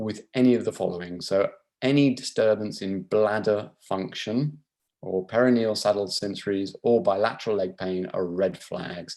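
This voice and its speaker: With a British accent, a man speaks in a dark, mellow tone at a fairly low pitch, keeping his intonation fairly even. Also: moderate pace. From England. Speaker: neurosurgeon. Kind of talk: lecture. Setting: video call.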